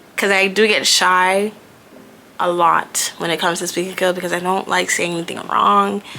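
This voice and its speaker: Noticeable background noise surrounds a woman's voice. She talks at medium pitch and a moderate pace. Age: 20s. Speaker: lifestyle vlogger. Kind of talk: casual vlog talk.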